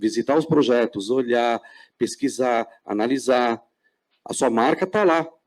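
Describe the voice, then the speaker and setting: A man at a moderate pace. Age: 60s. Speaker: panel moderator. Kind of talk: panel discussion. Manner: halting, many repetitions.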